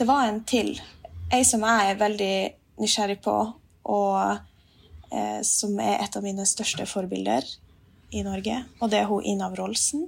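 Pausing long and often, a woman speaks at a fairly slow pace. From Finnmark, northern Norway. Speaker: musician. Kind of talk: casual chat. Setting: remote recording.

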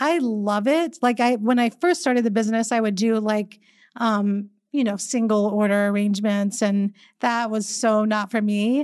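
A woman's fairly high voice at a moderate pace, with ordinary pitch variation, very even loudness and a quiet background. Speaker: floral designer and business founder. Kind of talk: interview. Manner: extroverted.

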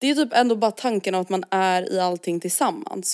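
The recording is very clean, with a silent background. A woman at medium pitch talks at a fairly quick pace with ordinary pitch variation. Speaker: podcast co-host. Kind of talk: casual chat.

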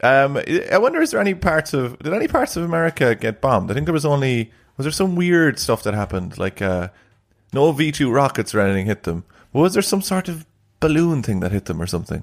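Very fast and animated, the voice has very wide pitch swings in a very clean recording with a silent background. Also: man, fairly high pitch for a man. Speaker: podcast co-host. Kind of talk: casual banter, comedic chat. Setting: late night home recording. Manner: jokey, teasing, animated.

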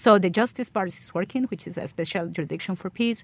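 A woman's fairly low voice with a Spanish accent at a fairly quick pace. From Colombia. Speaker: ambassador. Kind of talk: interview. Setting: studio. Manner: halting.

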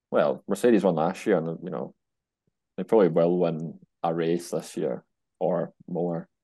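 Very deep, low male voice with a dark, mellow tone and a Scottish accent, fairly even intonation, moderate pace, long, frequent pauses, and a quiet background. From Scotland. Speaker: motorsport and golf journalist. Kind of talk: casual chat.

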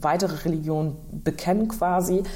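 A woman speaks in a dark, mellow tone with audible room echo. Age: 20s. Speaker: politician. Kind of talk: interview answers.

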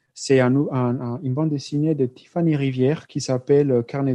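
A man talks at a moderate pace in a medium pitch, his tone dark and mellow and his intonation fairly even. The background is quiet, and the sound is dry and close with no echo. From Colombia. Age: 30s. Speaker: PhD student in sociology. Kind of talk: interview. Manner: halting, frequent repetitions.

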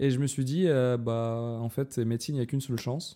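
With a Russian accent, a man talks at a moderate pace in a dark, mellow tone of medium pitch with fairly even intonation, on a very clean recording with a silent background. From Dagestan, Russia. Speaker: guest, medical student. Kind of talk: casual chat.

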